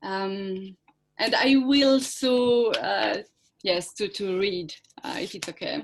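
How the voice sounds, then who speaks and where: In a French accent, a woman speaks at a very slow pace and a fairly high pitch, with ordinary pitch variation. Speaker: performance artist. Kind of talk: conference presentation. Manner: halting.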